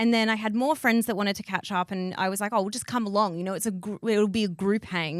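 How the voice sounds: With fairly even intonation, the text is read in a natural reading voice.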